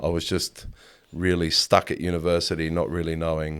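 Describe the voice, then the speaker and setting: With an Australian accent, the speaker talks at a moderate pace in a monotone, flat intonation on a very clean recording with a silent background. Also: man. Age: 40s. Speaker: photographer. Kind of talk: interview. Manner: halting.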